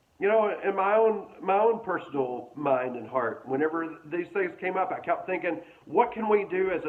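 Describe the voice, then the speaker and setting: A man speaks in a high pitch with ordinary pitch variation at a moderate pace. Noticeable background noise and audible room echo fill the recording. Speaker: pastor. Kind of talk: sermon.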